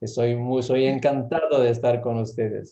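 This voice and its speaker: A man with an Italian accent speaks at a moderate pace with fairly even intonation. His tone is dark and mellow, and the room echo is audible. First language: Italian (speaking Spanish). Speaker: gynecological endocrinology professor. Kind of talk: lecture Q&A answers. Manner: halting.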